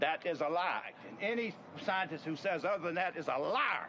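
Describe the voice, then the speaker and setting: A Mississippi accent with ordinary pitch variation, over noticeable background noise. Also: man. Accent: Southern US, Mississippi. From US South, Mississippi. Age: 70s. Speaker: inventor. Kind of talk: demonstration talk. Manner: forceful.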